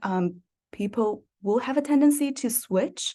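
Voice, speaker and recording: With a non-native accent, a woman speaks in a fairly high pitch and a dark, mellow tone, her pitch varying in an ordinary way against a quiet background. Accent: foreign. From East Asia. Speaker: teacher, workshop participant. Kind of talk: workshop discussion. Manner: hesitant, many fillers.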